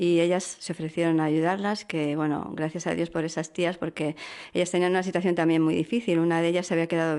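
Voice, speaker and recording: This is a woman speaking. Her pitch is fairly low. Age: 50s. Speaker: interview guest sharing faith testimony. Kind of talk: testimony. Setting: radio studio. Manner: hesitant, many fillers.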